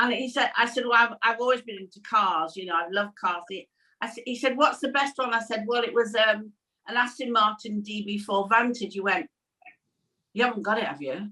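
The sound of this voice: The tone is bright and sharp, at a fairly quick pace. Pitch varies in an ordinary way. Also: woman, medium pitch for a woman.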